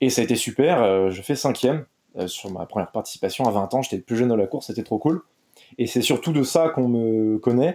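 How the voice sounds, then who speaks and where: Medium in pitch, a man talks at a fairly quick pace with lively intonation and a dark, mellow tone. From France, Brittany. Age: 20s. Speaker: triathlete. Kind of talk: podcast interview.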